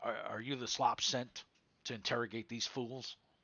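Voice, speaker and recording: A man uses a raspy, put-on character voice at medium pitch with monotone, flat intonation. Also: moderate pace. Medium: actual play. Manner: curt, clipped.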